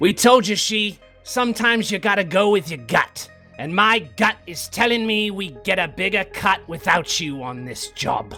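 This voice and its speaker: A man's gruff, high-pitched, put-on character voice at a moderate pace, with faint background music. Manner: callous, dismissive.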